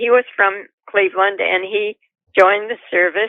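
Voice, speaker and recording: At a fairly slow pace, a woman with a Southern US accent speaks with fairly even intonation. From Georgia, USA. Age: 80s+. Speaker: retired telephone operator. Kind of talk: casual interview answer.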